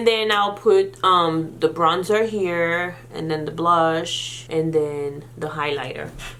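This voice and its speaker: Against noticeable background noise and audible room echo, a woman speaks at a very slow pace. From Senegal. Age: 30s. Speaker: beauty vlogger. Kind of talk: Q&A vlog. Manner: casual.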